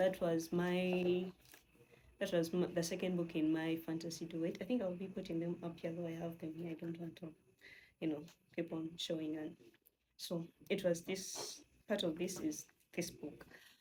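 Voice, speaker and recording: A woman speaks at a moderate pace in a dark, mellow, somewhat breathy monotone, leaving long, frequent pauses. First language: not English. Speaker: novelist and video creator. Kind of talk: casual vlog talk. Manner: many fillers and false starts.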